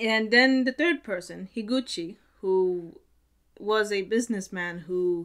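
A woman talks fairly slowly with ordinary pitch variation, and the background is quiet. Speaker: video blogger. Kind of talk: casual vlog chat. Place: home room.

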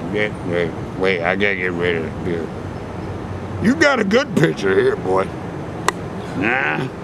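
Noticeable background noise behind a man talking fairly slowly. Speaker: interviewee. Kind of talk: rambling casual street interview. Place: garden. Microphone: phone near.

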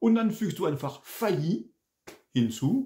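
Against a quiet background, a man speaks with lively intonation in a somewhat breathy voice. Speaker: French teacher. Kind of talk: language lesson. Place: home room. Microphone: webcam.

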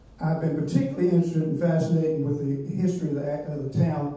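A man's fairly high voice with an American accent, fairly even intonation and strong room echo. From Virginia, US South. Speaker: local historian. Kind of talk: lecture. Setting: stage with audience. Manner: self-deprecating humor.

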